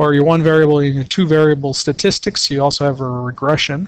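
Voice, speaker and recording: A man with a fairly high pitch talks at a fairly quick clip in a plain, everyday voice. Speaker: calculator tutorial presenter. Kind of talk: tutorial.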